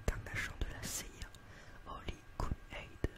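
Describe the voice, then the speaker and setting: A man whispers over noticeable background noise. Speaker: ASMR creator doing a roleplay as a film shop seller. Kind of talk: roleplay as shop seller, reading film back-cover synopses aloud. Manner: slightly stumbling, casual.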